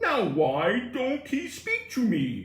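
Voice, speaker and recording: A put-on character voice with a slight echo. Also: man. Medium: read story. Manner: anxious, suspicious.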